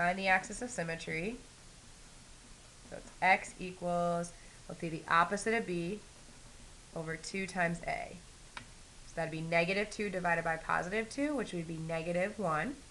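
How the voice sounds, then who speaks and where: Heard with audible room echo, a woman with a fairly low pitch and ordinary pitch variation talks at a moderate pace with long, frequent pauses. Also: big swings in loudness. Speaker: math teacher. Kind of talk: lecture.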